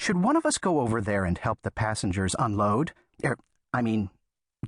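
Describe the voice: The background is quiet as a text is read aloud in a plain way.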